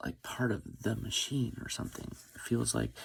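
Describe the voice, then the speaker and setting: At a moderate pace, a man talks in a soft-spoken way. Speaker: vlogger. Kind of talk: personal confessional monologue. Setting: at home, early morning. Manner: hesitant.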